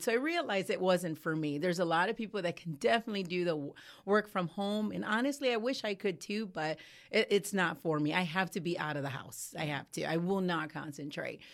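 A woman with an American accent speaks in a normal speaking voice at a medium pitch, talking at a fairly quick pace with lively intonation on a very clean recording with a silent background. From US Midwest, Cleveland, Ohio. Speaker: business owner and author. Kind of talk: interview.

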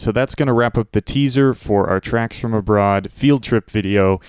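An ordinary speaking voice from a man, fairly quick in pace, with ordinary pitch variation and a dry, close sound with no echo. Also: very clean recording, silent background. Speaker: radio host. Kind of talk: radio interview.

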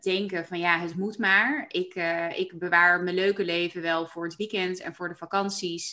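With fairly level intonation, a plain, everyday voice proceeds at a moderate tempo. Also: woman, medium pitch for a woman. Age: 30s. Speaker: coach and podcast host. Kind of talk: casual interview chat.

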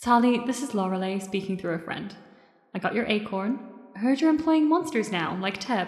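With music in the background, a woman speaks at a fairly high pitch and moderate pace. Her intonation is lively. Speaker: role-play podcast player. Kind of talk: in-character improvised role-play.

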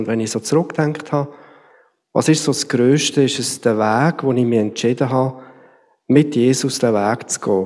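This man has a medium-pitched voice with a dark, mellow tone and ordinary pitch variation. He talks at a moderate pace on a very clean recording with a silent background. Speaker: church team member. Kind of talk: testimony.

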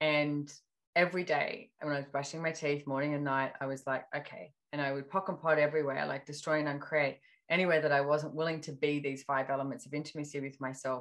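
Against a quiet background, a woman with an Australian accent speaks at a very fast pace in a very deep, low voice with monotone, flat intonation. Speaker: personal development facilitator. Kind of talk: casual chat.

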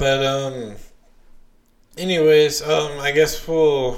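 Very slow, monotone, flat delivery from a man with an American accent and fairly high pitch. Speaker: podcast host. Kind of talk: casual chat. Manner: filler-heavy, hesitant.

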